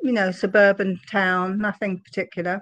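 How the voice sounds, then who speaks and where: A woman's medium-pitched voice in an English accent, at a moderate pace over a quiet background. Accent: English accent, still noticeable. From London area, England. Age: 70s. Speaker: interviewee sharing life story. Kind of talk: interview testimony.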